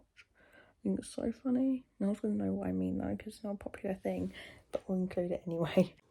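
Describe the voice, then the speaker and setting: Soft-spoken and very fast, a woman with a British accent talks with big swings in loudness. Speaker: vlogger. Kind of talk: casual chat. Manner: soft-spoken, talking quietly.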